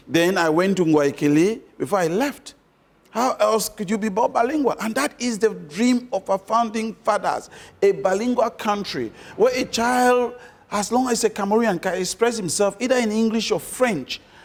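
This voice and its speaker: Speaking at a moderate pace, a man uses a high voice with ordinary pitch variation. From Cameroon, Yaoundé and Southwest. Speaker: engineer and diaspora investor. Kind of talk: interview.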